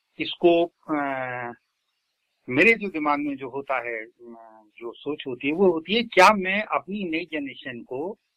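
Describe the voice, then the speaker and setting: A man with lively intonation and long, frequent pauses. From Uttar Pradesh, India. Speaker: lyricist and poet. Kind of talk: interview.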